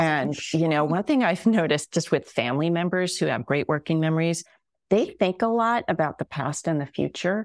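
An unremarkable speaking voice from a woman, fairly low in pitch, with lively intonation, a fairly quick pace, and a dry, close sound with no echo. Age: 50s. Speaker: psychologist. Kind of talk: casual chat.

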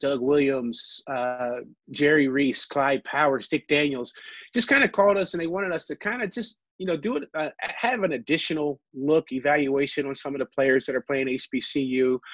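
A man with an American accent, an ordinary speaking voice and a fairly high pitch, at a moderate pace with ordinary pitch variation, in a dry, close sound with no echo against a quiet background. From Ohio. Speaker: former football executive and player. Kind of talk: interview.

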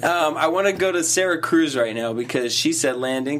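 Lively in intonation and animated in tone, a man with an American accent speaks over noticeable background noise. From Boston. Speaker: late night talk show host. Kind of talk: casual chat. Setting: studio.

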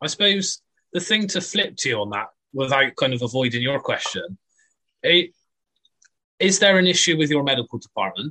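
A man speaks at a moderate pace with a bright, sharp tone, very wide pitch swings, and long, frequent pauses. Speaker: football fan, contributor. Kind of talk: casual chat.

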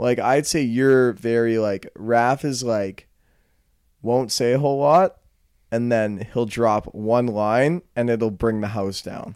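Speaking at a fairly slow pace, a man has an unremarkable speaking voice at medium pitch. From Calgary, Canada. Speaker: podcast co-host. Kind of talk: casual comedic banter.

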